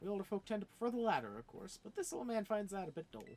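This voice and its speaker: Someone mumbles at a very fast pace in a put-on character voice. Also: man. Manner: mumbling.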